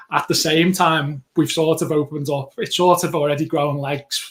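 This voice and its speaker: Here a man speaks with a Liverpool accent. His pitch is fairly high. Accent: Liverpool (Scouse). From Liverpool, England. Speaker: podcast co-host. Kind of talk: casual chat.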